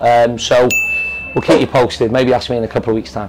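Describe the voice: A man's voice with a slightly mellow tone plays over faint background noise.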